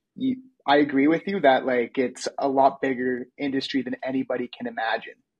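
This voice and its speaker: This man has a normal speaking voice with a Canadian accent and a fairly high pitch. He talks at a fairly quick pace with ordinary pitch variation. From Canada. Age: 20s. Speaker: podcast host. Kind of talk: interview.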